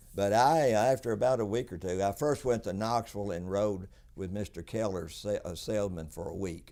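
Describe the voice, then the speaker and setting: Speaking at a fairly quick pace with a Tennessee accent, a man has a fairly low pitch, a dark, mellow tone and ordinary pitch variation on a very clean recording with a silent background. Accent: Southern US (Tennessee). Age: 80s+. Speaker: businessman. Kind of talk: interview. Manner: halting.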